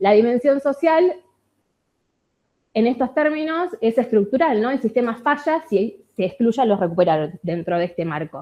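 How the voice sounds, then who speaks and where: With a Rioplatense accent, a woman speaks at a high pitch with very wide pitch swings. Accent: Argentine Rioplatense Spanish. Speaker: researcher and industrial designer. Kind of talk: conference talk. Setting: conference with audience. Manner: fast.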